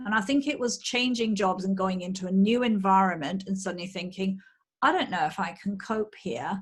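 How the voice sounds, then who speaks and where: This woman has a British accent and a medium pitch. She sounds somewhat breathy, speaks fairly quickly and shows ordinary pitch variation. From UK. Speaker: menopause coach. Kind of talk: interview.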